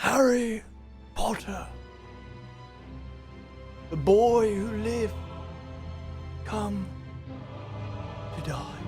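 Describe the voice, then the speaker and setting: Over clear background music, a put-on character voice speaks at a very slow pace. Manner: menacing.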